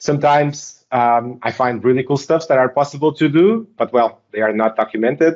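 Talking at a fairly quick pace with hardly any pauses, a man with a Portuguese accent keeps very even loudness, a fairly high pitch and ordinary pitch variation. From Portugal. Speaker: software technical lead. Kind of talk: interview.

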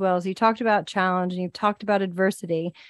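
Over a quiet background, a woman talks at a very fast pace with a Southern US accent. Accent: Southern US, slips out at times. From US South. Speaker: podcast host and executive coach. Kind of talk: casual interview chat.

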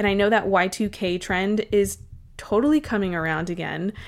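The recording is very clean with a silent background, carrying an unremarkable speaking voice at a moderate pace. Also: woman. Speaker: podcast host, dietitian. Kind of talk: solo podcast monologue, encouraging talk.

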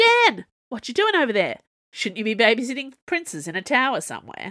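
In a put-on character voice, a woman speaks at a fairly quick pace with a fairly high pitch, very wide pitch swings and a bright, sharp tone, in a very clean recording with a silent background.

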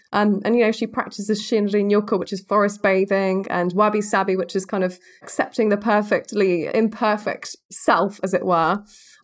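A woman in a British accent, with monotone, flat intonation. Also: medium pitch for a woman, moderate pace, hardly any pauses. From Spain (born in Macclesfield, England). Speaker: wildlife filmmaker. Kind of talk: casual interview chat.

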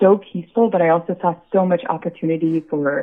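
Speaking at a moderate pace with an American accent, a woman has an unremarkable speaking voice at a fairly low pitch. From US, Buffalo, New York. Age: 30s. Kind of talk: interview.

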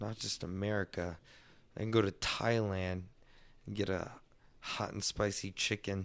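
Long, frequent pauses break up the fairly slow, monotone, flat delivery in a very clean recording with a silent background. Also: man, fairly low pitch for a man. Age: 30s. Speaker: podcast host. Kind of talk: casual chat.

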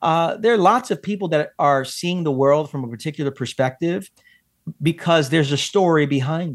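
A man has an unremarkable speaking voice, a fairly high pitch, and ordinary pitch variation at a moderate pace. The recording is very clean, the background silent. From Brooklyn, New York, of Puerto Rican descent. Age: 40s. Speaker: pastor and author. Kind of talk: podcast interview.

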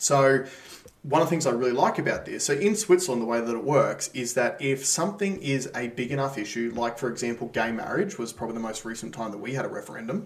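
A man with an Australian accent talks at a very fast pace and a medium pitch, with lively intonation. Noticeable background noise is present. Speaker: podcast host. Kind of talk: casual chat.

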